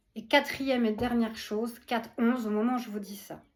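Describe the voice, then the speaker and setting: Her voice is somewhat breathy and fairly high-pitched, and the woman keeps her intonation fairly even. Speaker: spiritual channeler. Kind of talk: spiritual message. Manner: warm, affectionate.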